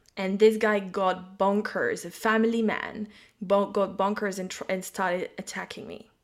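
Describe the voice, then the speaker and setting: In a French accent, a woman speaks with monotone, flat intonation but big swings in loudness. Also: medium pitch for a woman, moderate pace. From France. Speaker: psychic and intuitive business mentor. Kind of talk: casual chat.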